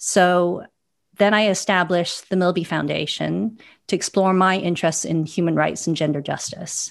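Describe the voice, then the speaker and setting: Over a quiet background, a woman with an unremarkable speaking voice talks at a moderate pace, her fairly low pitch kept to fairly even intonation. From Canada, Vancouver. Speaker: philanthropist and foundation chair. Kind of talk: panel discussion.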